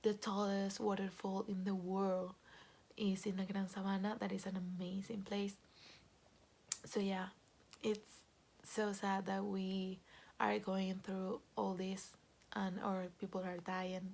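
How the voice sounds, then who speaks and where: The voice is somewhat breathy, with a monotone, flat intonation. It moves at a very slow pace with long, frequent pauses. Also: woman, medium pitch for a woman. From Venezuela, Caracas. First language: Spanish. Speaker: Venezuelan expat sharing her experience. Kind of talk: personal testimony. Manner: hesitant, many fillers.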